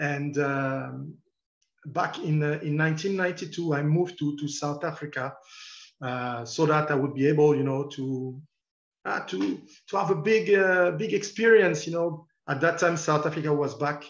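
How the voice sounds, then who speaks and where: A French accent at a moderate pace with ordinary pitch variation. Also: man. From France. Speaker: football journalist. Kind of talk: lecture. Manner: halting.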